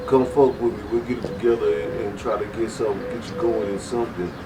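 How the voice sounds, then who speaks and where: With an American accent, a man speaks at a moderate pace and medium pitch amid audible room echo and noticeable background noise. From West Texas. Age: 40s. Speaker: music label owner. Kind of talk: interview. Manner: halting, with many fillers.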